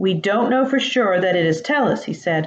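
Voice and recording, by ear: The intonation is lively as a text is read aloud in a natural voice.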